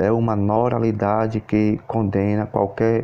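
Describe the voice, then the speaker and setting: The pace is very slow. Intonation stays monotone and flat. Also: man. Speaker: YouTube news channel host. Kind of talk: news read-out.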